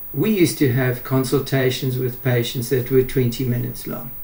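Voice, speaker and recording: A man talks at a moderate pace with long, frequent pauses. His tone is dark and mellow, and somewhat breathy. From South Africa, Pretoria. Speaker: doctor. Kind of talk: interview.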